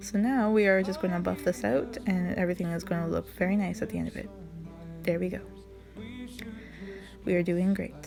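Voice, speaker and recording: A woman speaks at a fairly quick pace with long, frequent pauses while music plays in the background. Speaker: makeup vlogger, mom. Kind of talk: makeup tutorial talk to camera. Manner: casual, awkward, self-deprecating.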